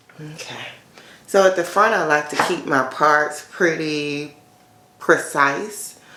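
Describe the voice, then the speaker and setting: In a room with audible echo and noticeable background noise, a woman with a very deep, low pitch talks at a very slow pace, her loudness swinging widely. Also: ordinary pitch variation. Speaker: natural hair YouTuber. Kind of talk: hair tutorial. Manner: casual, conversational with fillers.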